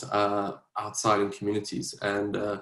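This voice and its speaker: A somewhat breathy man's voice with a South African accent. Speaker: policy advisor and politician. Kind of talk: mentorship panel talk. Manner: hesitant, many fillers.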